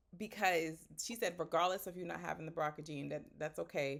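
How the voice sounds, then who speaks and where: An ordinary speaking voice from a woman, fairly low in pitch, with an American accent at a fairly quick pace. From Boston, Haitian American. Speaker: podcast host. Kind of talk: casual chat.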